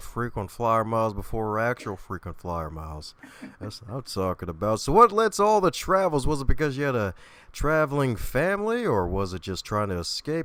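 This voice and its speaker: Very wide pitch swings at a fairly quick pace, with an American accent. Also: man. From Baltimore, US. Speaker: podcast host. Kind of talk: casual interview chat. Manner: animated.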